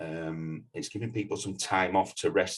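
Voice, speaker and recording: At a fairly slow pace, a man speaks with a Yorkshire accent. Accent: regional Yorkshire. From northern England, Leeds, Yorkshire. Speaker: mountain leader and climbing instructor. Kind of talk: podcast interview. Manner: halting.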